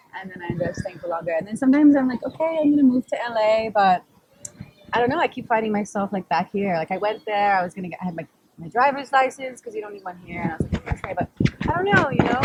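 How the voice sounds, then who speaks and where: At a very fast pace, a woman speaks with a fairly high pitch and very wide pitch swings. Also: big swings in loudness. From Australia. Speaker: model and actress. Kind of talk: casual chat.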